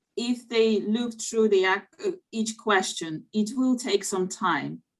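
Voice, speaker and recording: Speaking at a very slow pace, a woman holds a medium pitch with ordinary variation. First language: not English (English is third language). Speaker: community group leader. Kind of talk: panel discussion. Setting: online video event. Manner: hesitant, many fillers.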